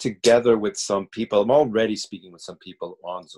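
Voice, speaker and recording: Here a man speaks at a fairly quick pace. His voice sounds dry and close, without echo. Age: 60s. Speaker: acting teacher. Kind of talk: interview. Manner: halting.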